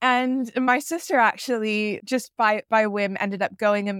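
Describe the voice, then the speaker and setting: This is an unremarkable speaking voice with an American accent and ordinary pitch variation. The sound is dry and close, without echo. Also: woman. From US South, Atlanta. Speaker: pharma consultant. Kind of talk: casual interview chat.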